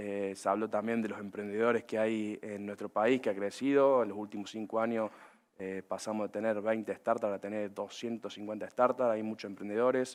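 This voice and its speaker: Speaking at a moderate pace with a Córdoba accent, a man uses a fairly low pitch and monotone, flat intonation. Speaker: agribusiness panelist. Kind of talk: panel discussion. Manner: many filler hesitations.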